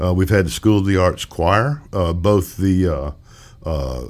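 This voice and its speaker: A man with a Mississippi accent speaks fairly slowly in a very deep, low voice, his intonation lively. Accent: US Southern (Mississippi). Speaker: musician and retired music educator. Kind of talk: interview. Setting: studio. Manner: halting, many fillers.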